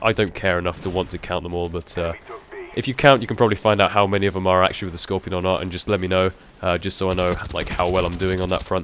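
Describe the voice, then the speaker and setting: In a put-on character voice, a man talks at a very fast pace with a hoarse, very deep, low pitch and fairly even intonation, over light background noise. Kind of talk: casual gaming commentary.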